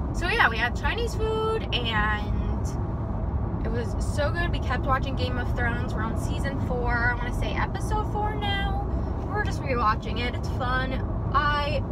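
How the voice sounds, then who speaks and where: The speech moves at a fairly slow pace beneath loud background noise. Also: woman. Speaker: vlogger. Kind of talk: casual vlog chat. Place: car. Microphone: phone near.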